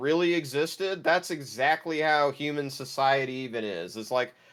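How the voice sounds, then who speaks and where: This man has a normal speaking voice at a fairly high pitch. He talks at a moderate pace. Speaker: pop culture podcast host. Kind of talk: casual review chat.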